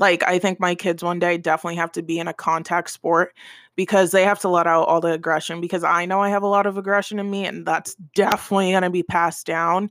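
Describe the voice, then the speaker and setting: A woman's fairly low voice at a moderate pace, monotone and flat, dry and close with no echo, in a very clean recording with a silent background. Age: 20s. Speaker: podcast host. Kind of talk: casual chat.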